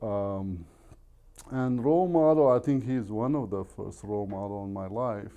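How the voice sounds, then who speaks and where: A man with an Arabic accent speaks at a fairly slow pace in a medium pitch. His tone is dark and mellow, and his intonation is lively. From Iraq. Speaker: real estate agent. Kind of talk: podcast interview.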